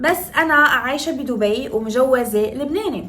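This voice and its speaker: A woman speaks in a Moroccan accent with lively intonation and an animated tone. Music plays in the background, and the room echo is audible. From northern Morocco, Tetouan. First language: Moroccan Darija (speaking Arabic). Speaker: makeup artist and lifestyle vlogger. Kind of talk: casual vlog tutorial.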